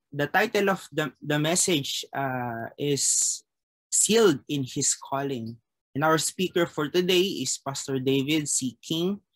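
In a quiet setting, a man's speech moves at a fairly slow pace. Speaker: chapel service leader. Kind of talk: prayer and scripture reading. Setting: video call. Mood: calm, reverent. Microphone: webcam.

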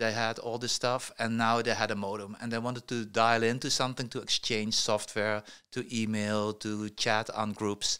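Over a quiet background, a man speaks in a bright, sharp tone with monotone, flat intonation. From Netherlands. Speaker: tech entrepreneur; podcast guest. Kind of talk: interview. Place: studio. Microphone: studio mic.

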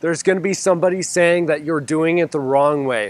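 Recorded with a dry sound and no echo, a man talks at a fairly quick pace with ordinary pitch variation. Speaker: gardening channel host. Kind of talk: casual vlog chat. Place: garden. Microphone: lapel.

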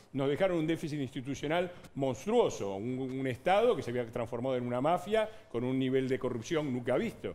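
Lively intonation marks this man's speech, delivered at a fairly quick pace. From Argentina. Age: 60s. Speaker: politician. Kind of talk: heated debate. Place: studio.

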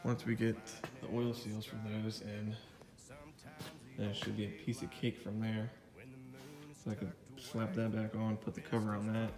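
Clear music plays in the background as the speaker keeps a monotone, flat intonation at a moderate pace, with long, frequent pauses. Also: man, fairly low pitch for a man. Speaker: tractor restorer. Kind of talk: casual progress walkthrough. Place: garage. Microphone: phone near.

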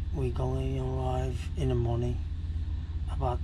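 Over noticeable background noise, a man speaks in a monotone with flat intonation. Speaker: travel vlogger. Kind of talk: casual vlog chat. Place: boat. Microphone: phone near.

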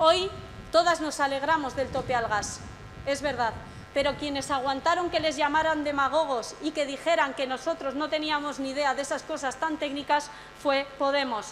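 A high-pitched woman talks at a moderate pace with fairly even intonation over light background noise. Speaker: speaker. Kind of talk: rally speech. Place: stage. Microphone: podium.

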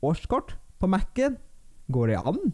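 Against a quiet background, a man speaks in a high pitch with very wide pitch swings. His tone is dark and mellow. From Norway. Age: 20s. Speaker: YouTuber. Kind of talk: Q&A vlog. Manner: casual, with filler sounds. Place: home room. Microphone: studio mic.

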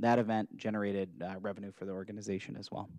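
A man's fairly low, dark, mellow voice, monotone and flat, dry with no echo against a quiet background. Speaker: presenter. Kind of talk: formal report presentation. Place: hall. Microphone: podium.

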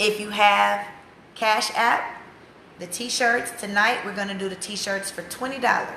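A woman with an American accent speaks at a very slow pace in a fairly high pitch and fairly even intonation, with light background noise and audible room echo. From USA. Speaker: activist's wife selling campaign t-shirts. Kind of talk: casual live stream. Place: home room. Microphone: phone near.

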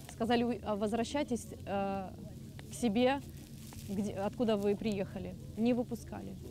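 Over light background noise, a woman speaks slowly at a fairly high pitch with fairly even intonation, the sound dry with no echo. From Mariupol, Ukraine; Ukraine. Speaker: refugee, former job centre employee. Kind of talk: emotional testimony; interview answer. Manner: halting, repeating words. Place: open country.

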